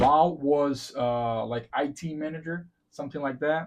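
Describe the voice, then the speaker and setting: This man has a fairly high pitch and a Portuguese accent. He talks at a fairly slow pace with ordinary pitch variation. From Brazil. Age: 40s. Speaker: podcast host and realtor. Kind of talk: casual chat.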